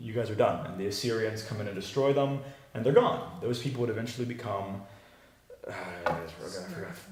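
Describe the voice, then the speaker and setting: Big swings in loudness and long, frequent pauses at a fairly quick pace, ordinary pitch variation, with noticeable background noise and audible room echo. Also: man, medium pitch for a man. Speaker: Bible teacher. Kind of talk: teaching a class with discussion. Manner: fast.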